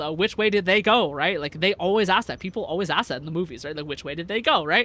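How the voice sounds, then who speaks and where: A man's raised, projected voice, high-pitched, bright and sharp, very fast, with very wide pitch swings. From US, Vietnamese-American family. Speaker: VTuber streamer. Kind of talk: casual live stream chat. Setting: live stream. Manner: many fillers and repetitions.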